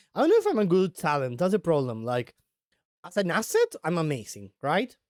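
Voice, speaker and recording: With a non-native accent, a high-voiced man swings his pitch very widely in a dry, close recording with no echo and a silent, very clean background. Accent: non-native accent, self-described weird. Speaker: vtuber streamer. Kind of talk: casual live stream chat. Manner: halting, many repetitions and fillers.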